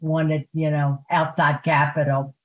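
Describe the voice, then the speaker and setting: A woman with an American accent speaks fairly slowly in a very deep, low, somewhat breathy voice, her intonation monotone and flat, the sound dry and close with no echo. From Baltimore, US. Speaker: retired PR consultant. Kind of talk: interview.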